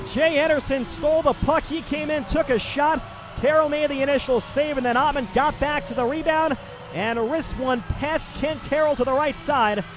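Against noticeable background noise, a man's animated voice sits at an extremely high pitch with ordinary pitch variation. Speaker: hockey play-by-play announcer. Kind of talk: live sports commentary, hockey play-by-play. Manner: fast-paced, animated play-by-play delivery; rapid, rising-and-falling calls on goals.

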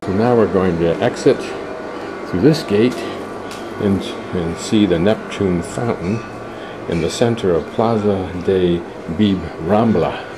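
A man's slow, low-pitched voice with ordinary pitch variation over clear background noise

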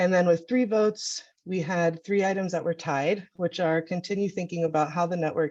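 A woman with an unremarkable speaking voice talks at a fairly quick pace. Her intonation is fairly even, over a quiet background. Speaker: network meeting facilitator. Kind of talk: online meeting presentation.

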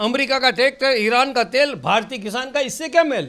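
A man projects a raised voice at an extremely high pitch. His tone is bright and sharp. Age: 70s. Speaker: senior politician, former assembly speaker. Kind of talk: interview. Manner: animated.

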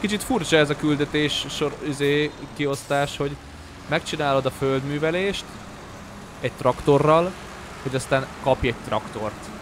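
Noticeable background noise accompanies fairly slow speech with ordinary pitch variation and long, frequent pauses. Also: man, fairly high pitch for a man. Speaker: gaming streamer. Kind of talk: live gameplay commentary. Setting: home stream. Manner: casual, rambling with frequent repetitions.

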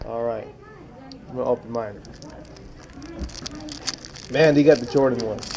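A man speaks at a fairly slow pace in a slightly mellow tone. Faint background noise can be heard. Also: medium pitch for a man, ordinary pitch variation.

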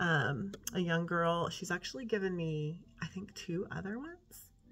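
A woman speaking at a fairly slow pace with music in the background. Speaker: teacher and vlogger. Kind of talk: casual vlog talk to camera. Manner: breathing hard.

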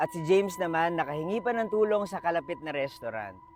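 Over noticeable background noise, a man with a high pitch makes very wide pitch swings. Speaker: storytime vlogger. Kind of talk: ghost story telling, on-location true-crime storytime. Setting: outdoors at a park tower. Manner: casual, chatty, Taglish vlogger style.

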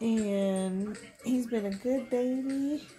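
A woman's voice with fairly even intonation, faint music in the background. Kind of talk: casual vlog chat. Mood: happy, laughing. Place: home room. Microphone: phone near.

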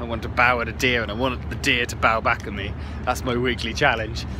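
The recording of a man's voice has a dry sound with no echo and noticeable background noise. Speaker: travel vlogger on a scooter trip. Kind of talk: casual vlog chat. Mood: upbeat, reflective. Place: waterside. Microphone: phone near.

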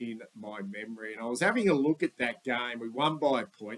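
In an Australian accent, a man talks. His pitch is medium. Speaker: sports vlogger, football fan. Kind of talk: casual sports preview monologue. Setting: voiceover with slides. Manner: rambling, conversational.

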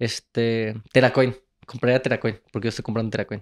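In a quiet setting, the words come at a fairly quick pace. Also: man. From Mexico, Guanajuato (Moroleón); Guanajuato, Mexico. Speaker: travel content creator and entrepreneur; travel content creator. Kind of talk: casual chat. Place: studio. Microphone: handheld.

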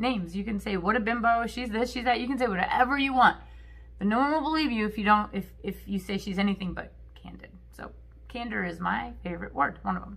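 Talking at a very fast pace, a woman's voice shows big swings in loudness. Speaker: vlogger. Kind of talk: casual vlog chat. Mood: candid, animated. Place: home room. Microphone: phone near.

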